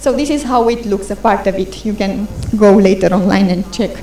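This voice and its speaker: Talking at a fairly brisk clip, the speaker is heard with room echo and clear background noise. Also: woman. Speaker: internet policy presenter. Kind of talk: conference presentation. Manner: fast.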